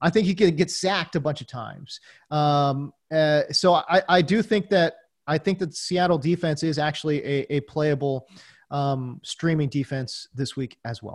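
A man with an unremarkable speaking voice talks at a fairly high pitch with lively intonation. The recording is very clean, with a silent background. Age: 40s. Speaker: fantasy football analyst. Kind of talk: casual chat. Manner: fillers and repetitions.

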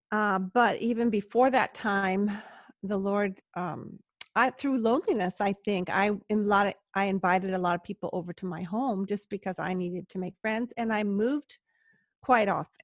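A woman with a Californian accent talks at a moderate pace and a medium pitch, her intonation fairly even. The sound is dry and close with no echo, and the background is quiet. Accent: Californian American English. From US, Southern California. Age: 60s. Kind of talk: interview conversation. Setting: remote call from home.

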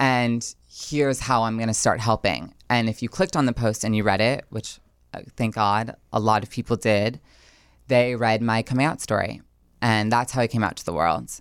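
Her pitch very deep and low, a woman speaks at a moderate pace with ordinary pitch variation in a very clean recording with a silent background. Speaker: writer and blogger. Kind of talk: casual chat.

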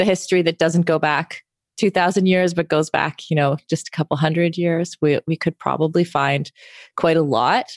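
A woman with a Canadian accent has an unremarkable speaking voice, fairly low in pitch, at a moderate pace. The recording is very clean with a silent background and a dry, close sound with no echo. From Canada. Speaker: former pro triathlete and media founder. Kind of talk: interview conversation.

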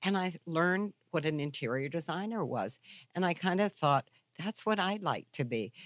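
A plain, everyday voice with an American accent and lively intonation, in a dry, close sound with no echo over a quiet background. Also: woman, fairly low pitch for a woman, moderate pace. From US South, Charlottesville, Virginia. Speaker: interior designer. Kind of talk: interview. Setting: studio.

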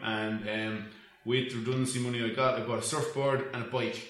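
With a Dublin accent, a man speaks at a moderate pace and medium pitch with fairly even intonation, amid audible room echo and noticeable background noise. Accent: Irish (Dublin). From Ireland, north County Dublin. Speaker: event management company co-owner. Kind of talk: casual interview.

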